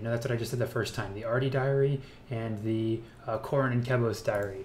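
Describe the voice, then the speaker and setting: Speaking at a fairly quick pace, a man with a medium pitch and ordinary pitch variation is heard with audible room echo. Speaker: gaming YouTuber. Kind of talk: gameplay commentary. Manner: casual, with fillers; fast.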